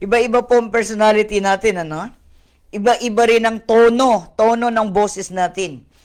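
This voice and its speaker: A woman speaks at a moderate pace. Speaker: pastor. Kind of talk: online Bible study sermon. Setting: online video stream. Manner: code-switching Tagalog and English.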